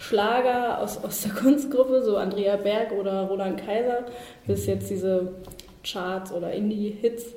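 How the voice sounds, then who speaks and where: The voice shows ordinary pitch variation amid audible room echo and noticeable background noise. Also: woman. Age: 20s. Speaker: social work student. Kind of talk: interview.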